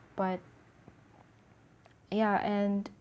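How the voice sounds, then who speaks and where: A woman is whispering. Her voice stays quiet. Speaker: tarot reader. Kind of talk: tarot reading to camera. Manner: almost whispering, quiet.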